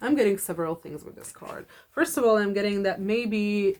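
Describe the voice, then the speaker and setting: A woman with a non-native accent speaks at a fairly quick pace with fairly even intonation. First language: not English. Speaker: tarot reader. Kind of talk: tarot reading monologue. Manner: halting, many fillers.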